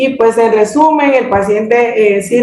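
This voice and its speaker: High female voice with ordinary variation in pitch. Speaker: hearing screening trainer. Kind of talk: training presentation. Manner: halting, many fillers.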